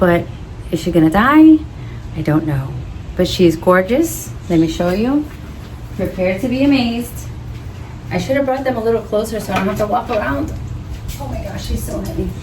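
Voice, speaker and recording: A woman at medium pitch with very wide pitch swings and long, frequent pauses, with audible room echo and noticeable background noise. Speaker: orchid hobbyist vlogger. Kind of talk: casual vlog talk to camera. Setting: outdoors on patio. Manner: variable volume, sometimes quiet; animated.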